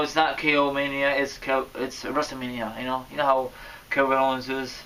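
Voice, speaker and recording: At a moderate pace, a man with a fairly high pitch speaks in an animated tone over noticeable background noise. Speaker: wrestling commentary vlogger. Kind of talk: casual vlog commentary. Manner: loud at times; animated, stumbling.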